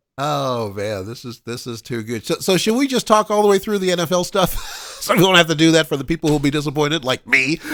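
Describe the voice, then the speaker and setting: A man's fairly high voice at a very fast pace, very wide pitch swings, and music in the background. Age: 60s. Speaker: radio show host. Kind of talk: casual chat.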